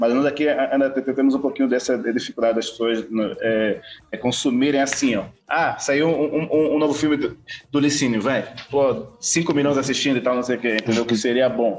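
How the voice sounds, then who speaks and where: The loudness stays very even while the speaker moves at a moderate pace with ordinary pitch variation. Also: man, medium pitch for a man. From Angola, Bié. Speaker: filmmaker. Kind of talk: casual interview. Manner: halting, many fillers.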